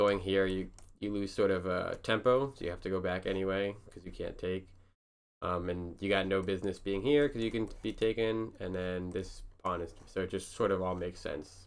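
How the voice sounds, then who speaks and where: Fairly even in intonation, a man's fairly low-pitched voice moves at a moderate pace. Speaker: amateur chess player reviewing own games. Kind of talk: casual game analysis commentary. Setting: at home at night, partner asleep. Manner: quiet, hushed; hesitant, many fillers.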